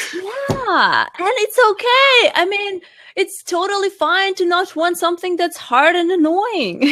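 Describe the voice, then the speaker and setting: A woman with a non-native accent projects a raised, bright, sharp voice at an extremely high pitch, with lively intonation. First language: not English. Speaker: life coach and fitness trainer. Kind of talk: interview. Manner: halting.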